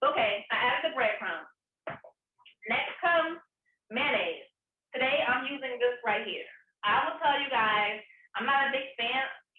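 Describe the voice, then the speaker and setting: Long pauses come often as a woman with a slight Southern US accent speaks at a moderate pace with ordinary pitch variation, her voice carrying audible room echo. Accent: slight Southern country. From US South, Atlanta. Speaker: vegan chef. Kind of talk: cooking demonstration. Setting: on camera, recorded demo. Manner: casual, chatty.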